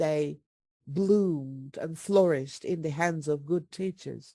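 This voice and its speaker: In a Turkish accent, a woman speaks at a very slow pace with lively intonation. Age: 60s. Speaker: retired English teaching professor. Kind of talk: webinar Q&A answer. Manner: animated.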